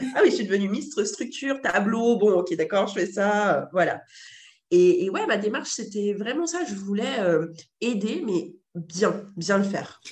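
A woman's somewhat breathy voice moves at a fairly slow pace with very wide pitch swings. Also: medium pitch for a woman. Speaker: entrepreneur and model agency founder. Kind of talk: casual interview conversation.

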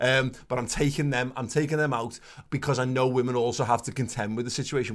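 At a very fast pace, a man speaks at a medium pitch on a very clean recording with a silent background. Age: 30s. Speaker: podcast co-host, football fan. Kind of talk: casual chat.

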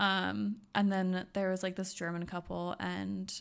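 The recording is very clean and its background silent. A woman talks in an American accent. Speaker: podcast co-host. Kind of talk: casual chat. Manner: joking, casual.

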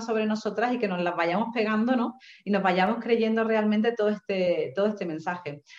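A woman talks at a fairly quick pace with a fairly high pitch and ordinary pitch variation. She has a plain, everyday voice. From Seville, Andalusia, Spain. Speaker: writer and feminist coach. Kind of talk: online panel interview.

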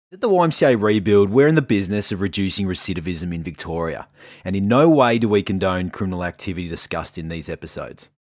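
Speaking at a fast pace, a man uses a low pitch, a slightly mellow tone and lively intonation.

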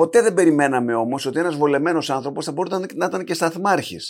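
A very clean recording with a silent background captures speech at a moderate pace. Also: man. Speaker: podcast host. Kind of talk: interview.

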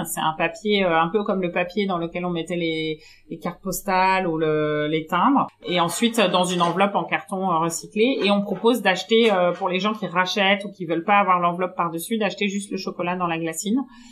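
This woman speaks at medium pitch with fairly even intonation. Her pace is fairly quick. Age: 30s. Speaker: chocolate maker and shop co-founder. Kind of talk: interview. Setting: in her chocolate workshop. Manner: hesitant, many fillers.

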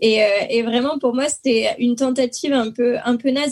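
In a southern French accent, the speaker talks at a very slow pace. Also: woman. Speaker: podcast co-host. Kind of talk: casual chat. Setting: video call.

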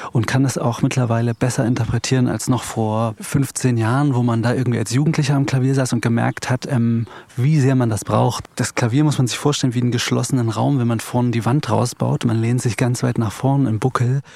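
This man talks at a fairly quick pace with hardly any pauses, at medium pitch and in a dark, mellow tone. His loudness stays very even and his intonation fairly even. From Eichsfeld, Thuringia, Germany. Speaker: composer and pianist. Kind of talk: casual chat. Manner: halting.

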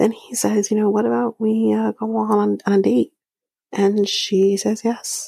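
The sound is dry and close with no echo as a woman speaks at a fairly slow pace. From Canada. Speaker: podcast host. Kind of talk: casual recap commentary.

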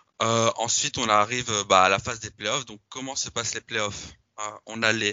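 A plain, everyday voice from a man at medium pitch, moderate in pace, with fairly even intonation. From Belgium. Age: 20s. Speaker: football social media account manager, student. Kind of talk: casual interview.

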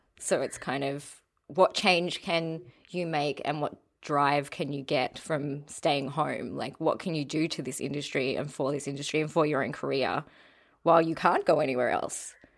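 A woman with an Australian accent speaks in a very deep, low pitch with ordinary pitch variation. Her pace is moderate, on a very clean recording with a silent background. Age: 30s. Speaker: podcast host. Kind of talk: casual interview chat.

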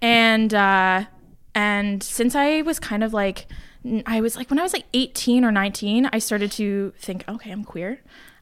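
On a very clean recording with a silent background, a woman speaks in an unremarkable speaking voice at a moderate pace, fairly high in pitch with ordinary pitch variation. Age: 20s. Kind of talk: casual chat.

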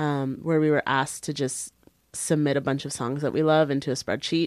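A woman with a Canadian accent speaks in a very deep, low voice, recorded very cleanly against a silent background with a dry, close sound and no echo. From Canada, Brampton, Ontario. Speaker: magazine editor. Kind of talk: casual chat.

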